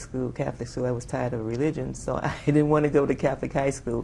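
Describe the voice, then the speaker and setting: A woman's very fast, dark and mellow voice with an American accent, vocal fry and fairly even intonation, plus audible room echo. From New York City, Bronx. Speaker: Air Force veteran. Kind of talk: oral history interview. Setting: conference.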